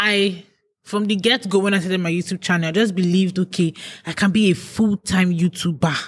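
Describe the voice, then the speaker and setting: A woman talks at a fairly quick pace and medium pitch. Her voice is somewhat breathy. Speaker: YouTuber. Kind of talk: casual chat.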